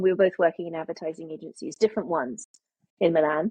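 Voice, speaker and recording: In a British accent, a woman speaks with a fairly low pitch. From international childhood, UK boarding school. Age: 50s. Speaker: memoirist. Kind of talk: interview. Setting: podcast.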